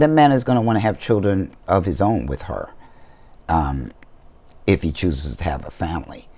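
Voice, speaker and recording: With a dark, mellow tone and vocal fry, a man speaks in a very deep, low pitch at a moderate pace, his pitch swinging very widely between long, frequent pauses. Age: 60s. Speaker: vlogger. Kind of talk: casual vlog monologue.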